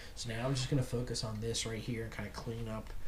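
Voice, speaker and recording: A man with an American accent speaks at a fairly quick pace and a fairly low pitch, with ordinary pitch variation. Audible room echo and noticeable background noise surround him. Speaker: outdoors YouTuber. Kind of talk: tutorial. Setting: home garage. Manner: casual.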